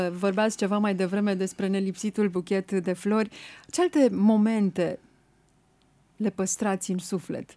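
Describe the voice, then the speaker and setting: A woman speaks at a fairly slow pace with fairly even intonation. Her medium-pitched voice has a dark, mellow tone. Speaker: radio host. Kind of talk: radio interview. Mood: warm, respectful. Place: studio. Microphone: studio mic.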